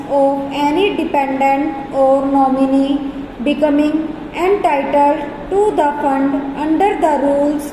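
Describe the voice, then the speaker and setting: A woman's high, fairly even voice at a very slow pace, with music in the background. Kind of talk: legal dictation read at 100 words per minute for stenography practice. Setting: dictation practice recording. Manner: slow, dictation pace, pausing between sentences.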